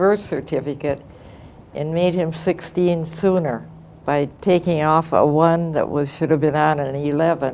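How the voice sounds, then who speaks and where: In an American accent, a woman speaks with a very deep, low pitch, a dark, mellow tone and monotone, flat intonation. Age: 90s. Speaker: war-era eyewitness. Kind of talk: testimony. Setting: classroom. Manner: halting.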